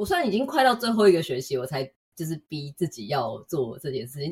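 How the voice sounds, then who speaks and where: Very fast and somewhat breathy, a woman's fairly low voice swings very widely in pitch. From Taiwan. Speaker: UX designer. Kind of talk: interview.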